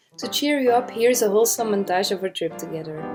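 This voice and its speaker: Over music in the background, a woman with a non-native accent talks at a fairly quick pace and fairly high pitch, her intonation lively. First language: not English. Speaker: amateur oil painter. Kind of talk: painting tutorial voiceover.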